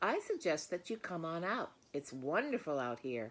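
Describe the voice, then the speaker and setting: A woman puts on a character voice at a moderate pace, her pitch fairly low. The recording is very clean, with a silent background. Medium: read story. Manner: fast, repeats phrases.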